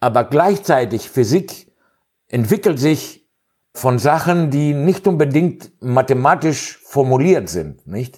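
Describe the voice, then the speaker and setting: A man with a non-native accent and a fairly high pitch, very slow pace and lively intonation, in a very clean recording with a silent background. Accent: non-native German speaker. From Greece. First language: Greek (speaking German). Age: 60s. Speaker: physicist. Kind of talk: interview. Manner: halting, many fillers.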